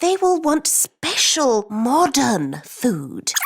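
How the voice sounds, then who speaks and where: The speaker puts on a cartoonish character voice and talks at a very slow pace. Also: female-sounding voice, high pitch for a woman. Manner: sensible, fretful.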